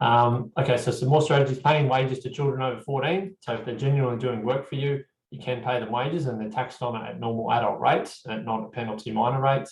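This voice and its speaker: A somewhat breathy man with an Australian accent, very fast pace, hardly any pauses and fairly even intonation. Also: medium pitch for a man. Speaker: accountant presenting a tax webinar. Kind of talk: webinar presentation. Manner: hesitant, many fillers.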